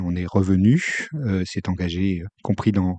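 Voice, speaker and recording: A man is speaking. His pace is very slow. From France, Haute-Saône (Franche-Comté). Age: 60s. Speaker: former senior civil servant. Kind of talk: life-story interview. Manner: halting, many hesitations.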